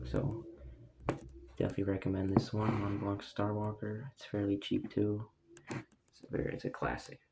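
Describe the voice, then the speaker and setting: The speaker moves at a moderate pace with long, frequent pauses. Noticeable background noise runs underneath. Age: young. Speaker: fragrance collector. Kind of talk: casual talk to camera.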